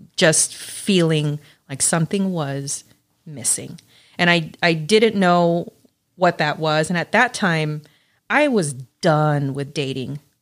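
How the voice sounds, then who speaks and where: A woman with an American accent talks at a very slow pace with long, frequent pauses, her very deep, low pitch showing ordinary pitch variation. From California, Los Angeles. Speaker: host's wife. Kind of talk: casual chat. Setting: cigar lounge.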